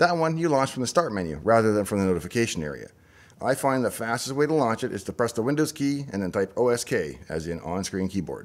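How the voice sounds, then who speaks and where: In a Saskatchewan accent, a man rattles along at a very fast pace with very wide pitch swings. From Saskatchewan, Canada. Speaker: tech YouTuber, former software developer; tech YouTuber. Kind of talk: explainer monologue. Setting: in a parked pickup truck. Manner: tongue-in-cheek, mock-serious. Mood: dry, wry humour. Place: home room. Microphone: studio mic.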